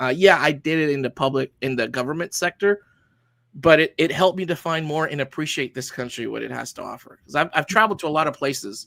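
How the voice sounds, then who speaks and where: Speaking at a very fast pace, a man with a Spanish accent uses a fairly high pitch and ordinary pitch variation. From Honduras. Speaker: army veteran, tactical training business founder. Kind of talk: interview.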